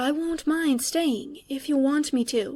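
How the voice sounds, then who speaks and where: A woman puts on a high-pitched character voice, speaking quietly at a fairly slow pace on a very clean recording with a silent background. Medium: read story. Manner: quiet, gentle.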